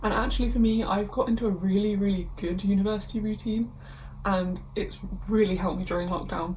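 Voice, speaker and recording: Amid noticeable background noise and audible room echo, a woman speaks fairly quickly at a medium pitch with fairly even intonation. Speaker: university student vlogger. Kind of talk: casual vlog. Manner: casual.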